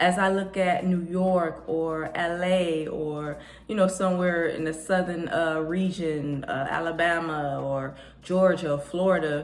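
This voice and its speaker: Against noticeable background noise, a woman with an American accent speaks at a fairly low pitch with fairly even intonation. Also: fairly slow pace. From Detroit, Michigan. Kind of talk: casual talk to camera.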